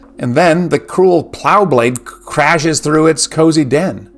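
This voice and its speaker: Over music in the background, a man with a fairly high pitch speaks at a fairly slow pace with lively intonation. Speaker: literature commentator. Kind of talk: educational lecture narration.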